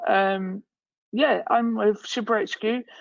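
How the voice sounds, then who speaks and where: With an English accent, a woman talks at a medium pitch. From England. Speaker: company founder and CEO. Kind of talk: webinar panel talk.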